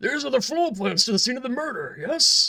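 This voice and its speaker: The voice is a put-on character voice with a high pitch. It moves at a fairly quick pace. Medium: game stream.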